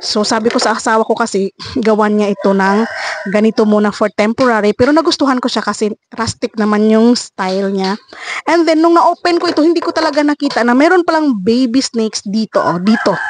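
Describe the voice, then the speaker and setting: Speaking at a fairly quick pace, a woman with a fairly high pitch and lively intonation is recorded with a dry, close sound and no echo. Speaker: vlogger. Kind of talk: casual vlog narration. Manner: soft-spoken.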